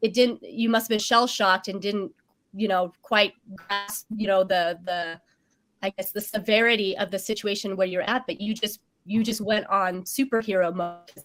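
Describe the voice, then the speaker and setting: Someone with an American accent speaks at a moderate pace and fairly even intonation while music plays in the background. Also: woman, medium pitch for a woman. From Vietnam. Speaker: show host. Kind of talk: interview. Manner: halting.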